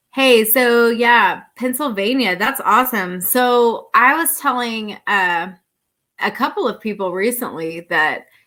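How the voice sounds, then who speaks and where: A loud, bright, sharp, fairly high voice from a woman with an American accent, lively in intonation and fairly slow in pace, in a very clean recording with a silent background. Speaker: outdoor YouTuber. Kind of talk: live stream Q&A chat. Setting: live stream at home near router.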